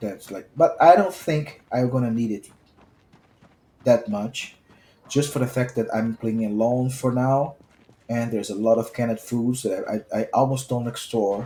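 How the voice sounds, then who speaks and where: A man with a strong Brazilian accent speaks at a moderate pace and medium pitch, with long, frequent pauses. His tone is dark and mellow, somewhat breathy, with fairly even intonation. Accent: thick Brazilian. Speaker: gaming streamer. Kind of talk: gameplay commentary. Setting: live stream recording.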